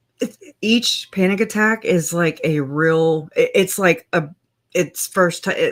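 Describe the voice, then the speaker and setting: A woman's raspy, put-on character voice at a medium pitch and a fairly slow pace. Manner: stuttering.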